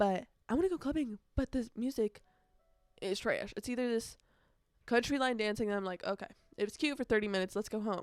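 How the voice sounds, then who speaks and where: A woman speaks at a fairly quick pace with a fairly high pitch and ordinary pitch variation. Her speech has long, frequent pauses, and music plays in the background. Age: young. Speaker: college student and podcast host. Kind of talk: casual podcast talk. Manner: chatty, talkative.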